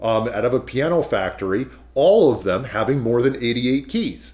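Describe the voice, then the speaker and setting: Somewhat breathy, a man with an American accent speaks with lively intonation. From California. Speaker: pianist and piano commissioner. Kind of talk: interview.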